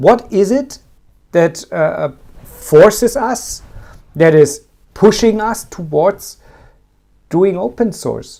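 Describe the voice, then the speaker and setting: A man's dark, mellow, high-pitched voice with a German accent, lively intonation, a very slow pace and long, frequent pauses. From Germany. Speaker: tech podcast co-host. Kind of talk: casual chat. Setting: live stream. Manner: halting.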